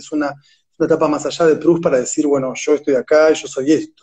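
A man with a fairly high voice talks fairly quickly. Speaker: literature scholar and translator. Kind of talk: interview. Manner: halting, repeats words.

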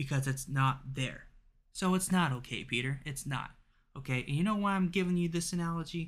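A man with an ordinary speaking voice talks at a fairly high pitch and a fairly quick pace, with ordinary pitch variation. The recording is very clean, with a silent background. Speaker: podcaster reading a textbook aloud. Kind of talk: angry rant, sarcastic tirade at the textbook author, swearing; casual solo reading of a textbook with commentary. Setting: solo home recording, raw and unedited. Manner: exasperated, sarcastic, loud and worked up; casual, rambling, self-deprecating.

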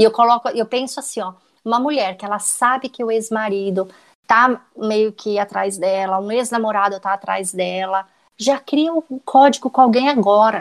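An ordinary speaking voice at a moderate pace, with ordinary pitch variation, a dry, close sound with no echo, and a quiet background. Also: woman, fairly high pitch for a woman. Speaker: private investigator and true crime podcaster. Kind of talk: casual interview chat.

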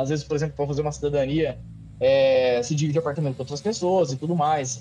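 Somewhat breathy and dark and mellow in tone, the voice moves at a fairly quick pace with ordinary pitch variation. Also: man. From Brazil, Paraná (Cascavel). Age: 30s. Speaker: videomaker and sim racer. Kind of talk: casual interview chat.

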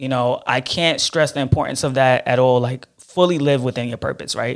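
A man with a Brooklyn accent talks at a fairly quick pace with fairly even intonation. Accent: New York (Brooklyn). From Brooklyn, New York (Flatbush), Haitian immigrant parents. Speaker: ad sales professional and social media influencer. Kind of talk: casual interview chat.

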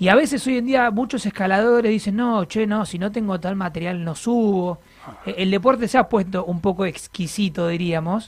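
A man speaks with an Argentine accent at a high pitch and a moderate pace. His tone is animated, with ordinary pitch variation. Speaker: radio host. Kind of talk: casual chat.

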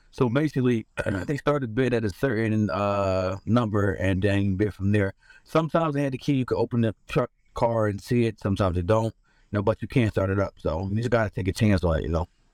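Fairly quick and fairly low, a man's ordinary speaking voice carries ordinary pitch variation. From US Northeast (Philadelphia). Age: 40s. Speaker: truck driver and inventor. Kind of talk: casual interview. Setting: video call from his tow truck.

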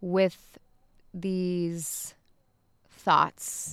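The recording is very clean, with a silent background. A woman with an American accent speaks at a medium pitch in an animated tone. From Pittsburgh area, Pennsylvania. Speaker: podcast host. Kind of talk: casual chat.

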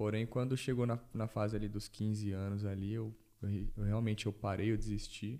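Keeping a very even loudness, a man with a dark, mellow tone and a fairly low pitch talks at a moderate pace in a monotone, flat way. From Brazil, São Paulo metro area (Taboão da Serra). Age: 20s. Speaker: physiotherapist. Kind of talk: casual chat.

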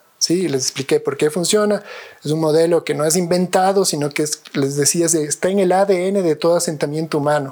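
At a moderate pace, a man talks in a high pitch with fairly even intonation and very even loudness, over noticeable background noise. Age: 40s. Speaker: architect and professor. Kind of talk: interview conversation. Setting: at his home. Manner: hesitant, many fillers and repetitions.

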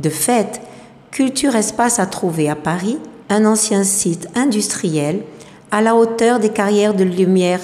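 A woman at a medium pitch speaks fairly slowly with ordinary pitch variation and very even loudness, and audible room echo surrounds her. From southern France, Marseille. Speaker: French teacher. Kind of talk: scripted narration.

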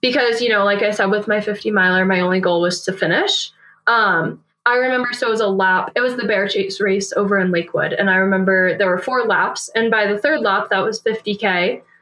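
At a fairly quick pace, a woman with an unremarkable speaking voice keeps her loudness very even and her intonation fairly even. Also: medium pitch for a woman. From US Northeast, New Hampshire. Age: 20s. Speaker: ultrarunner and environmental engineer. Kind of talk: casual interview.

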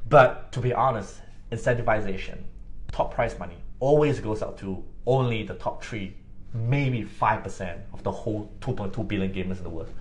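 Somewhat breathy and at a moderate pace, a man talks in a medium pitch with ordinary pitch variation. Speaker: podcast co-host. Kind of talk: casual chat.

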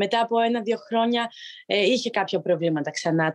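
A normal speaking voice comes at a moderate pace with a dry, close sound and no echo. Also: woman. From Greece, village in Arta. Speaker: professional handball player. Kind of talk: interview.

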